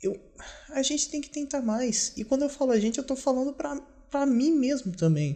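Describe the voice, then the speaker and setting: This man's voice has an extremely high pitch and a dark, mellow tone, moving at a moderate pace with ordinary pitch variation. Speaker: video diarist. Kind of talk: personal video diary monologue. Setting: at home. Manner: quiet, subdued; halting, self-correcting.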